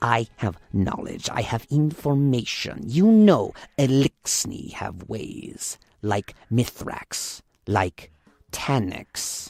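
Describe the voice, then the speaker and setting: A man's croaky, put-on character voice at medium pitch, with lively intonation, a very slow pace and a dry, close sound with no echo. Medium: read story. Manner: broken, clipped English.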